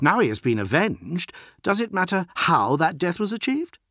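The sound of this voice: A man puts on a character voice at a high pitch with a fairly bright tone, big pitch swings and a moderate pace, on a very clean recording with a silent background.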